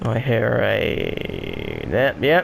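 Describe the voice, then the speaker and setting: Noticeable background noise sits behind this recording. The speaker is a man with a medium pitch. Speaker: gaming YouTuber. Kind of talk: gameplay commentary. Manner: monotone; casual, hesitant with fillers.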